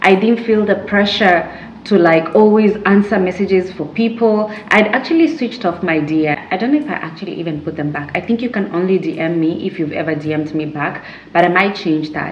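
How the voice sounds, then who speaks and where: A woman speaks at a fairly quick pace, with noticeable background noise and audible room echo. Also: medium pitch for a woman, ordinary pitch variation. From Kenya. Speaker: YouTuber, lifestyle vlogger. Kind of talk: casual chat to camera. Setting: sitting at home, sipping a drink. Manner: conversational, many fillers and repeats.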